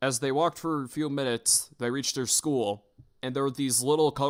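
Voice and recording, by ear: The intonation is fairly even. Someone reads aloud in a natural voice.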